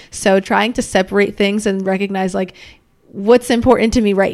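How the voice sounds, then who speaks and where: A woman speaks in an unremarkable speaking voice at a medium pitch. Her intonation is fairly even and her pace moderate. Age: 20s. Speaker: former basketball player. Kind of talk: casual chat. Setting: friend's apartment.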